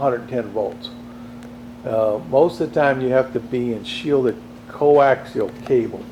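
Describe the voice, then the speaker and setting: Against noticeable background noise, a man talks at a moderate pace. His pitch is medium with ordinary variation. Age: 60s. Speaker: model railroad hobbyist. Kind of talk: video tour. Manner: casual, halting.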